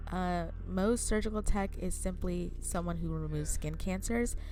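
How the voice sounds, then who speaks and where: A woman at a moderate pace, quiet, with audible room echo and music in the background. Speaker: surgical tech vlogger. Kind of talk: vlog narration. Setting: clinic workplace.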